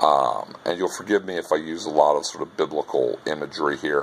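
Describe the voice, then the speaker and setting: A man talks over noticeable background noise. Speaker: university lecturer. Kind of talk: recorded lecture. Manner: talks like a preacher; casual, many filler words.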